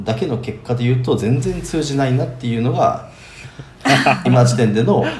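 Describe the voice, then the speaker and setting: Over noticeable background noise and audible room echo, a man of medium pitch talks at a moderate pace with fairly even intonation. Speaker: remote contract worker living abroad. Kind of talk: casual chat.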